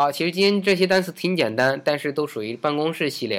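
In a very clean recording with a silent background, a man uses a normal speaking voice with lively intonation at a moderate pace. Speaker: English teacher podcast host. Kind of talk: language lesson.

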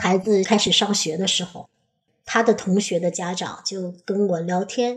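Using a normal speaking voice, a woman talks at medium pitch and a moderate pace. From northern China. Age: 40s. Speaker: Chinese language school operator. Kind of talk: personal storytelling.

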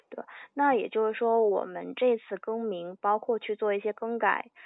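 With music playing behind her, a woman talks at a moderate rate. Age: 20s. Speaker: podcast host. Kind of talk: podcast interview.

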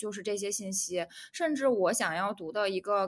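A woman has a plain, everyday voice of medium pitch with lively intonation. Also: very clean recording, silent background. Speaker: podcast co-host. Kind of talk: casual chat.

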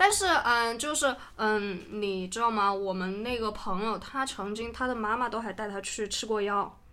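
A woman's bright, sharp tone at a fairly high pitch, hardly any pauses, with audible room echo. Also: ordinary pitch variation, moderate pace. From Sichuan, China (Guangyuan, then Suining, Dazhou, Mianyang). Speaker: podcast guest, friend of host. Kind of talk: casual chat.

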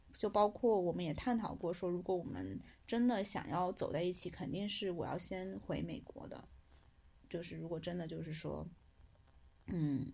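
Fairly low for a woman, her voice has a dark, mellow tone, vocal fry, lively intonation and a moderate pace. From Hunan, China. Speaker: friend of the host, former student abroad. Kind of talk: casual chat. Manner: animated.

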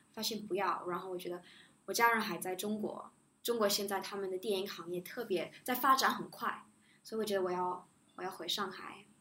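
A woman speaks with a non-native accent at a medium pitch. Her pace is fairly quick. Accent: noticeable non-native accent in Chinese. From Shanghai and the US (near Chicago), mixed upbringing. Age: 20s. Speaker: international school graduate. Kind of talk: interview. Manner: soft-spoken.

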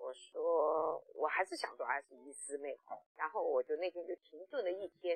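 Her loudness rises and falls in big swings. The woman keeps to a moderate pace. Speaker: online sales trainer. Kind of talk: testimony. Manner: hesitant fillers.

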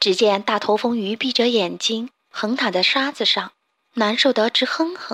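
Plain reading aloud with ordinary pitch variation comes through against a quiet background.

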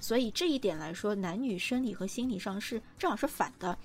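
A woman's fairly high voice, fairly quick and lively in intonation, with music in the background. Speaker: podcast host, journalist and film writer. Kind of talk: casual chat about films.

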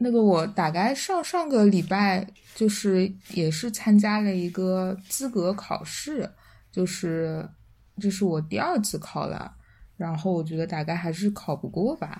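A woman with a dark, mellow tone and a somewhat breathy voice talks fairly slowly, her pitch variation ordinary. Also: medium pitch for a woman. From Shanghai. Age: 20s. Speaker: podcast guest. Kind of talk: casual chat.

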